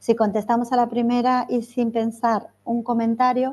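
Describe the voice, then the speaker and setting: A woman's fairly high, dark and mellow voice at a fairly slow pace over a quiet background. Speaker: trainer / workshop facilitator. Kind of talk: online training workshop.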